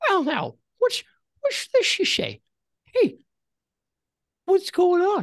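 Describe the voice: In a put-on character voice, the speaker goes at a very slow pace, squeaky and extremely high-pitched, with long, frequent pauses.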